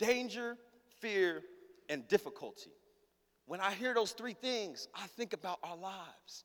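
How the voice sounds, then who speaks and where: A man with a high pitch speaks in an animated tone, with ordinary pitch variation, big swings in loudness and long, frequent pauses. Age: 20s. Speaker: pastor. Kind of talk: sermon. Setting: church.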